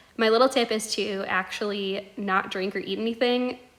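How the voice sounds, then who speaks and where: Over noticeable background noise, a woman talks in a fairly high voice with fairly even intonation. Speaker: ostomy vlogger. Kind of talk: tutorial. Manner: fast; casual, filler-heavy.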